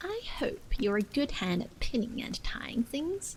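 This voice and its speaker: Putting on a character voice, a woman speaks fairly slowly at a high pitch over light background noise. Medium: read story. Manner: excitable, childish.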